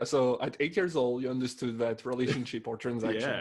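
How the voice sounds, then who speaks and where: A man with a French accent at a fairly quick pace, amid noticeable background noise. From France. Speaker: podcast co-host. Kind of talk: casual chat.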